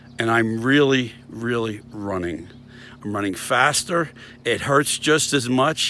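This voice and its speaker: Against noticeable background noise, a man speaks at medium pitch and a moderate pace with ordinary pitch variation. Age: 60s. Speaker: vlogger. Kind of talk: casual vlog monologue. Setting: outdoors. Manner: halting, with fillers.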